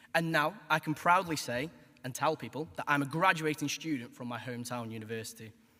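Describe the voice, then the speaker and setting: With a Stoke accent and a bright, sharp tone, the speaker moves at a fairly quick pace, showing ordinary pitch variation and big swings in loudness. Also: man, fairly high pitch for a man. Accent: Stoke (Potteries). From Stoke-on-Trent, England. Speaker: graduating student. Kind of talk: graduation speech.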